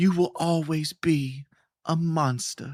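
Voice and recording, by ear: This man uses a put-on character voice with a Southern accent, pitched fairly high. His intonation stays fairly even as he speaks at a fairly slow pace.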